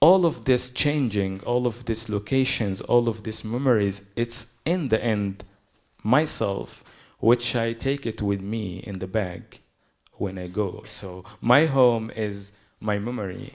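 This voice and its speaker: A man's medium-pitched voice with a Palestinian accent, ordinary pitch variation and a very slow pace, on a very clean recording with a silent background. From Gaza, Palestine. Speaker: poet. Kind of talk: panel talk.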